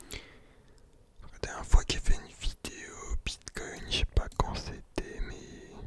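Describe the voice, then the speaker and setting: A man whispers at a very slow pace, his loudness swinging widely. Noticeable noise sits in the background. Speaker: ASMR content creator. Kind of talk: casual talk to camera, trading commentary. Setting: home studio with Blue Yeti microphone.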